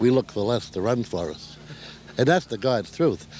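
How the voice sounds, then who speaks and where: Over noticeable background noise, a man talks at a moderate pace in a medium-pitched voice with lively intonation. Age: 60s. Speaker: senior softball player. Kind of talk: interview.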